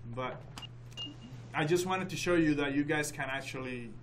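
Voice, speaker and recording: The recording of this man carries noticeable background noise and audible room echo. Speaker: software instructor. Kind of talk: tutorial.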